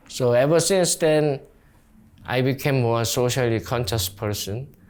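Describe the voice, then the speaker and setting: Fairly slow, lively speech in a Korean accent, on a very clean recording with a silent background. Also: man, medium pitch for a man. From South Korea. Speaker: community organizer. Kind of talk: interview. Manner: halting.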